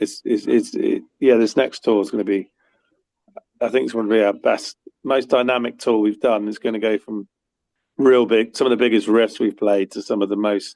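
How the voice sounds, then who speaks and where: Male speaker with an English accent at a moderate pace. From UK. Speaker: musician. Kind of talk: interview. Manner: halting, many fillers.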